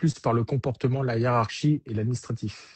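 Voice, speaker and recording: The intonation is monotone and flat, and the voice is somewhat breathy. The pace is moderate. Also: man. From Germany, French military family. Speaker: military career coach. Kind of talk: live interview. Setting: online livestream.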